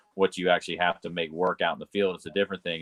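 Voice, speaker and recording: A man with a Southern US accent and a very deep, low pitch. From US South (North Florida, Carolinas). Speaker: engineer and emotional intelligence coach. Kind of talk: interview. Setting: video call. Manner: hesitant, many fillers.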